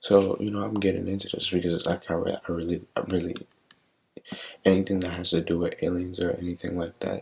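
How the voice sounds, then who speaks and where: A soft-spoken man with very deep, low pitch and monotone, flat intonation at a fairly quick pace. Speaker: reaction video creator. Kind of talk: casual chat. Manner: halting.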